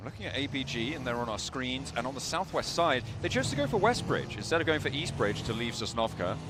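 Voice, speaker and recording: A very fast, medium-pitched male voice amid audible room echo and noticeable background noise. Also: lively intonation, hardly any pauses. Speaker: esports caster. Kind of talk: live commentary.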